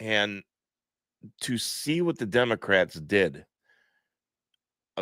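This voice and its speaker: Very slowly, a man speaks at a fairly low pitch in a dry, close sound with no echo, on a very clean recording with a silent background. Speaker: live-stream commentator. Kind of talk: livestream commentary. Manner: halting, with false starts.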